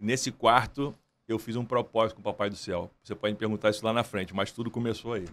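A man with medium pitch talks at a very fast pace. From Brazil, Nova Iguaçu (Baixada Fluminense, Rio de Janeiro); Rio de Janeiro, Brazil. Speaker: entrepreneur and music promoter; podcast guest. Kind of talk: interview. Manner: animated. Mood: earnest, faith-driven. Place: studio. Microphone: studio mic.

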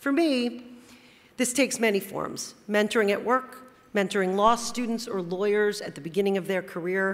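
A woman with an American accent speaks at a moderate pace, her medium pitch showing ordinary variation. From New Jersey (Teaneck); New Jersey. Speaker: corporate lawyer, award honoree; corporate lawyer. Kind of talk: award acceptance speech. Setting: stage at awards luncheon. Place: hall. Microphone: podium.

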